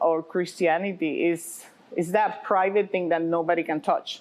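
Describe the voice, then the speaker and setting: At a moderate pace, a woman with a slight Puerto Rican accent speaks at a medium pitch. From Puerto Rico. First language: Spanish. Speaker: pastor and restaurant owner. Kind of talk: interview.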